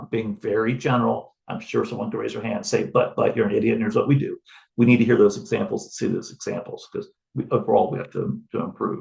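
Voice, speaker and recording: A man speaks very fast, with big swings in loudness. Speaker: wildlife agency researcher presenting findings. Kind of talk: webinar presentation.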